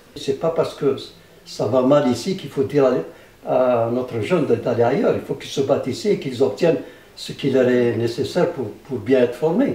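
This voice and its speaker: A man's medium-pitched voice at a moderate pace, with ordinary pitch variation, over noticeable background noise. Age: 70s. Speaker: physicist researcher. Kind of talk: interview. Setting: public science event. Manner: halting, many repetitions.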